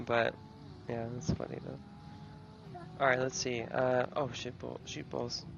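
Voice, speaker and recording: Over noticeable background noise, a man at medium pitch speaks very slowly with lively intonation. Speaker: sim racing driver. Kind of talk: casual chat.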